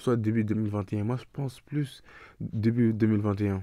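At a very slow pace, a man speaks with fairly low pitch, a dark, mellow tone and monotone, flat intonation. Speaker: YouTuber discussing TV series. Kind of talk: casual vlog to camera. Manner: hesitant, stumbling.

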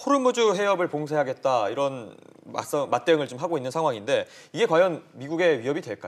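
His fairly high pitch swings very widely as the man talks at a fairly quick pace. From South Korea. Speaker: news anchor. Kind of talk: news interview. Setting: studio. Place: studio. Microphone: lapel.

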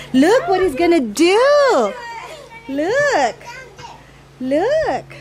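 A woman speaks over noticeable background noise, her voice dry with no echo. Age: 50s. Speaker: reunion association organizer. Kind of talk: casual chat; event introduction. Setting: association meeting with audience. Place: garden.

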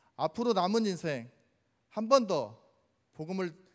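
A man talks at a fairly slow pace with lively intonation over a quiet background. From Jeonju, South Korea; South Korea. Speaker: church deacon giving testimony. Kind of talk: testimony. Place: church. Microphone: handheld.

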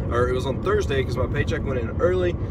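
The man rushes along at a very fast pace, his voice dry with no echo while loud background noise runs underneath. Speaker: vlogger driving to work. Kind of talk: casual vlog chat. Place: car. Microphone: phone near.

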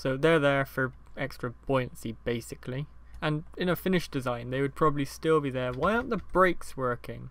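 In a British accent, the speech moves along at a fairly quick pace. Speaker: gaming video maker. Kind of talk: casual gameplay commentary. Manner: casual, rambling, laughing.

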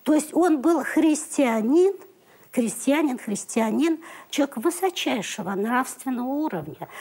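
A woman's high voice with a dark, mellow tone, lively intonation, and a moderate pace. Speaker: TV documentary maker. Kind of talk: studio discussion.

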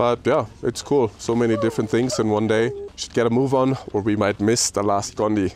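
A man speaks at a fairly quick pace, his pitch fairly low and his intonation fairly even. His tone is slightly mellow, with faint background noise.

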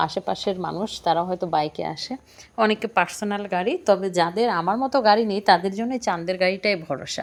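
A woman speaks at a medium pitch with ordinary pitch variation in a normal speaking voice. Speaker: cooking and travel vlogger. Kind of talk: travel vlog narration.

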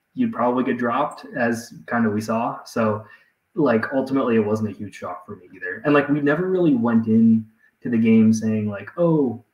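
Audible room echo surrounds a man speaking at a moderate pace with ordinary pitch variation. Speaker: guest. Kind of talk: interview answer. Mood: reflective, relaxed. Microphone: video call.

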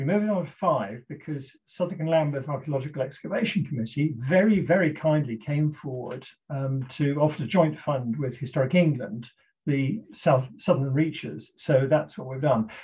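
A somewhat breathy man at a moderate pace, against a quiet background. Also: ordinary pitch variation. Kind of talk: lecture. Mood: animated, indignant about fake map. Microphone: video call.

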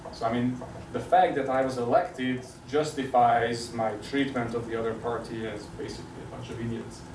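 Over noticeable background noise, a man talks at a fairly quick pace with fairly even intonation and big swings in loudness. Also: medium pitch for a man. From Hungary. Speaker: sociology professor. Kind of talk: lecture. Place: classroom. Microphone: camera far.

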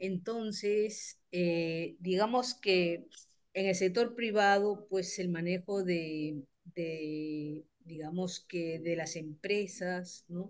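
A woman at a very slow pace, medium pitch, ordinary pitch variation, quiet background. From Peru. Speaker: teacher and communicator; teacher. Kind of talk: audience question. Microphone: video call.

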